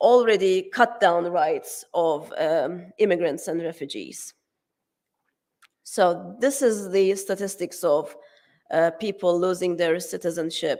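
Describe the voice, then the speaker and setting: At a very slow pace, a woman with a Turkish accent speaks at medium pitch with ordinary pitch variation, in a very clean recording with a silent background. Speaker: academic conference speaker. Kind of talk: conference talk. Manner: hesitant, many fillers and restarts.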